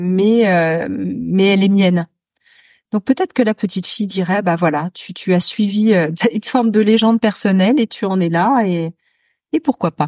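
Fairly slow delivery with long, frequent pauses, a dark, mellow tone and ordinary pitch variation, recorded dry and close with no echo against a quiet background. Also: woman, medium pitch for a woman. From France, Noirmoutier island (Vendée). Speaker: author and media founder. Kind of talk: interview testimony.

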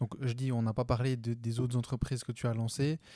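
Dark and mellow in tone, a man speaks at a medium pitch and a moderate pace with monotone, flat intonation. The recording is very clean, with a silent background. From Switzerland. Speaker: podcast host. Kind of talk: interview conversation. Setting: borrowed company office.

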